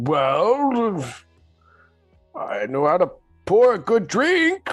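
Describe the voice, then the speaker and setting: A put-on character voice, fairly high in pitch, speaks at a very slow pace over faint music in the background. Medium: actual play. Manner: hesitant, polite.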